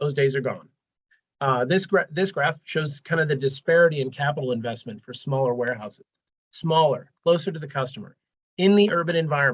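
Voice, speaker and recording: A man speaks at a fairly high pitch, somewhat breathy and with ordinary pitch variation. His pace is fairly quick. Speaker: transportation program manager, webinar presenter. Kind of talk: webinar presentation. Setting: live webinar, video call. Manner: fast.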